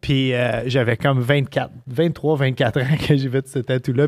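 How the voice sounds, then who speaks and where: The background stays quiet while a man talks. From Quebec. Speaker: chef and show host; podcast host. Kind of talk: casual chat. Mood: amused, storytelling. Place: home room. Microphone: studio mic.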